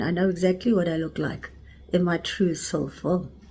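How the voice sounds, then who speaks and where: Her pitch medium, a woman speaks with a South African accent. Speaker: spiritual teacher. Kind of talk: spiritual talk.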